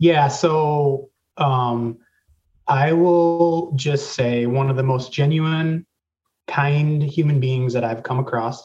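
Speaking with an American accent, a man talks at a very slow pace in a somewhat breathy voice. His pitch is fairly high and his intonation fairly even. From Racine, Wisconsin. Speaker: W Club board member, former college athlete. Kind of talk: casual interview.

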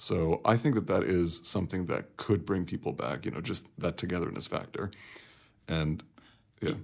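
Very deep and low in pitch with vocal fry, a man talks at a moderate pace with lively intonation. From Kuwait, though raised mostly abroad. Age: 30s. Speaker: consultant and researcher. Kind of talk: casual interview.

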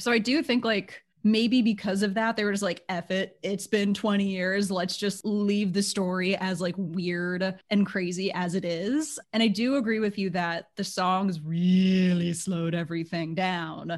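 The speech moves at a fairly slow pace with hardly any pauses. Intonation stays fairly even. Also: woman, medium pitch for a woman. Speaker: podcast host. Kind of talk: casual chat.

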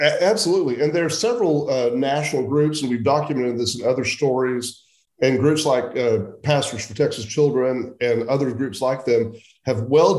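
Amid audible room echo, a man of medium pitch with an American accent speaks at a moderate pace with ordinary pitch variation. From central Oklahoma. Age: 60s. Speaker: journalist. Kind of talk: interview.

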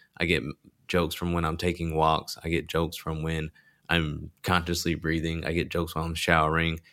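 A bright, sharp voice with a Texan accent moves at a very fast pace in a very clean recording with a silent background. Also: man. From rural Texas. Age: 20s. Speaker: stand-up comedian. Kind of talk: casual chat.

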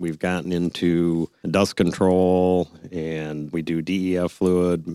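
A man with an American accent speaks at a very deep, low pitch in a monotone, flat intonation. The sound is dry and close with no echo, a very clean recording with a silent background. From Michigan, Brighton. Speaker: family business executive. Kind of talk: radio interview.

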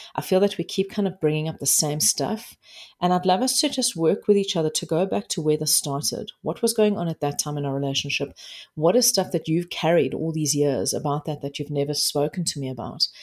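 This woman speaks at a fairly quick pace in a South African accent, her pitch very deep and low. Her intonation is lively. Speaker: life coach. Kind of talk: interview conversation. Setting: remote interview.

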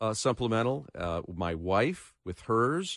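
A man talks in an unremarkable speaking voice, fairly low in pitch with ordinary pitch variation, against a quiet background. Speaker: radio host. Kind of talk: radio interview with call-ins. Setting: studio.

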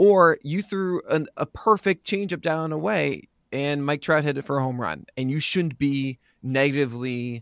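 With an ordinary speaking voice and lively intonation, a man is heard in a very clean recording with a silent background and a dry, close sound with no echo. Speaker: fantasy baseball analyst and site founder. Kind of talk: casual podcast interview.

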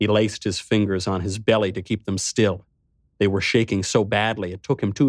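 Quiet surroundings and plain reading aloud

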